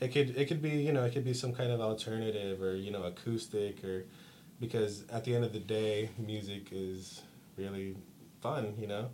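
A man with a Californian accent speaks at a moderate pace in a fairly low voice with ordinary pitch variation. Audible room echo surrounds the recording. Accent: Californian American. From Stockton, California. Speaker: punk band musician. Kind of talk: casual interview.

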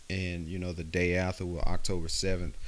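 A man with a Southern US accent, ordinary pitch variation and a moderate pace. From West Alabama. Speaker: podcast host. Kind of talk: casual solo podcast ramble. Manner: rambling, casual.

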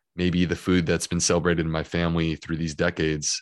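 A man speaks with an American accent and a very deep, low pitch. His intonation is fairly even, and the background is quiet. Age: 40s. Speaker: gastroenterologist and author. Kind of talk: podcast interview.

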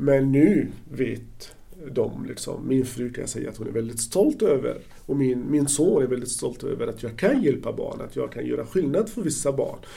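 Speech at a moderate pace is heard with audible echo from the room. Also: man. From Palestine, Gaza Strip. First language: Arabic (speaking Swedish). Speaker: social worker. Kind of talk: interview. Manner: halting.

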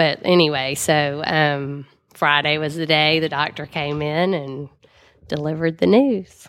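With a Southern US accent, a woman speaks at a fairly slow pace in a very deep, low pitch and fairly even intonation. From Mississippi, Jackson. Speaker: cancer survivor. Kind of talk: interview testimony. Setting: studio.

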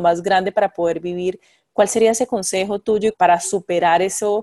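A woman of medium pitch speaks at a moderate pace in a dark, mellow tone with fairly even intonation. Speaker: podcast host. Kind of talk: interview. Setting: remote call.

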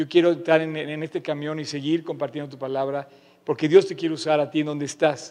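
With big swings in loudness, a man talks at a fairly quick pace and a fairly high pitch. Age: 50s. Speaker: pastor. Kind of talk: sermon. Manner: animated.

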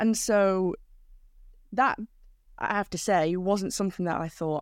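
A woman speaks with a Manchester accent at a medium pitch and a moderate pace. Her intonation is fairly even, and the recording is very clean with a silent background. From northern England, South Manchester. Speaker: cycling commentator. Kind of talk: interview.

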